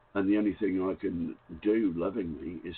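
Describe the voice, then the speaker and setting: A man's unremarkable speaking voice, fairly low in pitch, at a fairly slow pace. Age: 60s. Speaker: caller. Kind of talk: phone-in conversation. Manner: reflective.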